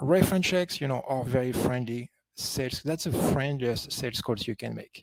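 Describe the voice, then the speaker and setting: In a slight French accent, a man speaks at medium pitch and a moderate pace with ordinary pitch variation, in a dry, close sound with no echo. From France, Paris. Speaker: company founder and conference speaker. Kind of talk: conference presentation.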